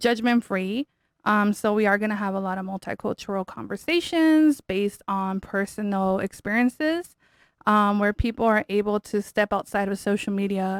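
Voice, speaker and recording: Recorded very cleanly against a silent background, with a dry, close sound and no echo, a woman of medium pitch talks at a moderate pace with ordinary pitch variation. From Southern California, Mexican-American. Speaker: podcast host. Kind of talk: casual chat. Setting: studio with mic and camera.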